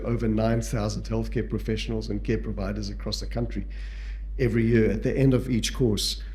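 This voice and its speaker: Speaking at a fairly quick pace with a South African accent, a man is heard over noticeable background noise and audible room echo. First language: Portuguese. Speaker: palliative care physician and educator. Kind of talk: lecture. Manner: halting.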